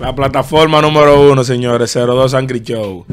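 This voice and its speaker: The intonation is fairly even. A man delivers it at moderate speed. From Dominican Republic. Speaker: podcast host. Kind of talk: casual interview chat. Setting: studio. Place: studio. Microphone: studio mic.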